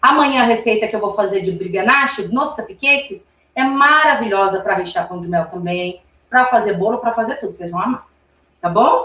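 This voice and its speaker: Speaking at a moderate pace, a woman with an ordinary speaking voice pitches fairly high and uses lively intonation. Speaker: confectionery instructor. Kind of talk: live cooking class tutorial. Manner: chatty, informal.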